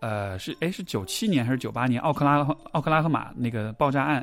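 A medium-pitched man talking at a fairly quick pace over music in the background. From China, Chengdu (Sichuan). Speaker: psychological counselor. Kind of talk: conversational interview.

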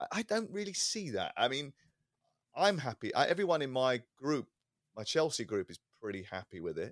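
Speaking in a British accent at a moderate pace, the voice shows vocal fry, very wide pitch swings, big swings in loudness, and long, frequent pauses. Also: man, fairly high pitch for a man, dry, close sound with no echo. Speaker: sports radio presenter. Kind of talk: casual football podcast chat.

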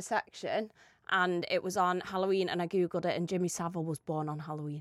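This very clean recording has a silent background. A woman with a British accent speaks at a fairly quick pace and a medium pitch. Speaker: podcast co-host. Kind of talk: casual chat. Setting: studio.

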